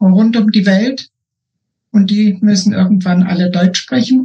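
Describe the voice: The voice moves at a slow pace, with a slightly husky edge and a dark, mellow tone. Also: woman.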